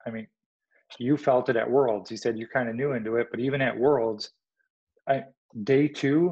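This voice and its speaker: An unremarkable speaking voice talks with an American accent. Intonation is fairly even, at a moderate pace. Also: man. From US Midwest, Illinois. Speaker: army veteran and longbow archer. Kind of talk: casual interview.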